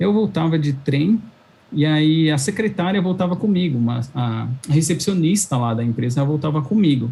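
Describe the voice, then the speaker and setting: An ordinary speaking voice from a man, fairly high in pitch, lively in intonation, at a moderate pace. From São Paulo, Brazil. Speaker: cloud engineer. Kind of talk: interview chat.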